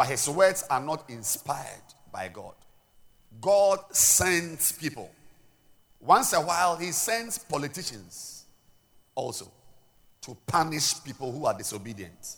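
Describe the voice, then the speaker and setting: An animated man with a Ghanaian accent, fairly high pitch and very wide pitch swings, at a fairly slow pace with long, frequent pauses. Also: big swings in loudness. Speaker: pastor. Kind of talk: sermon. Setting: church.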